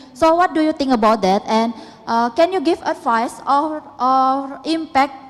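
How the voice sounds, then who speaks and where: A woman's high-pitched voice at a fairly slow pace, over noticeable background noise. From Indonesia. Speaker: audience member asking a question. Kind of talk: audience question at a public talk. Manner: halting.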